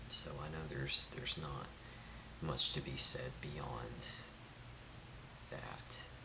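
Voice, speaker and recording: Whispering in a gentle tone at a very slow pace with long, frequent pauses, the voice sits over noticeable background noise. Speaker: ASMR creator. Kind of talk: ASMR roleplay of a caring friend checking in on someone with depression, spoken to camera. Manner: soft-spoken, gentle, hesitant.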